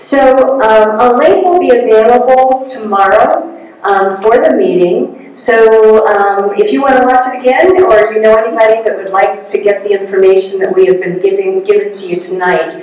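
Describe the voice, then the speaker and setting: Lively intonation carries this moderate-paced speech with hardly any pauses, and audible room echo surrounds it. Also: woman. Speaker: meeting host. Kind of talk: announcements to an audience. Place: hall.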